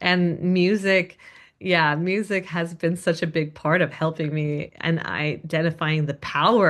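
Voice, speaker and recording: In an American accent, a woman talks in a normal speaking voice at a fairly slow pace, her pitch fairly low and intonation fairly even. The background is quiet. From US. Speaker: singer. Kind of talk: casual interview.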